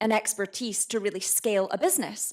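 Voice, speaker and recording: An animated woman's voice, fairly high-pitched, with ordinary pitch variation. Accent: Scottish. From Scotland, Edinburgh. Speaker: entrepreneur. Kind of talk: talk to a live audience.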